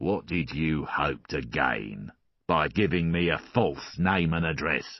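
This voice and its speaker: In a put-on character voice, a man growls at a very deep, low pitch. His pace is fairly slow. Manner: threatening.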